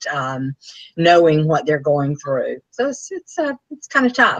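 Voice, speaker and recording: This woman speaks with a Southern US accent. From US South, Anniston, Alabama. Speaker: author and speaker. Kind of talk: interview.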